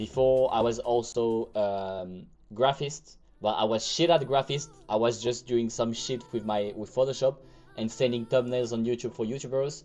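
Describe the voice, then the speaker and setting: In a French accent, a man speaks with medium pitch and a dark, mellow tone. His intonation is fairly even. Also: moderate pace. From France. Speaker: crypto trading livestreamer. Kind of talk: live trading stream commentary. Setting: livestream. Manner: casual, chatty.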